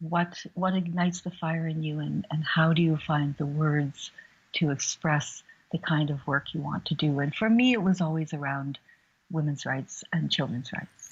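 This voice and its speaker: A soft-spoken, somewhat breathy woman at a very deep, low pitch, with ordinary pitch variation and a moderate pace. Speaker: human rights activist. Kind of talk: interview.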